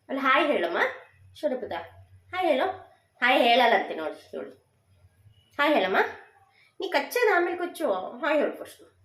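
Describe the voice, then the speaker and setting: Amid audible room echo, a woman speaks high in pitch with very wide pitch swings. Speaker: cooking vlogger. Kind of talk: cooking tutorial.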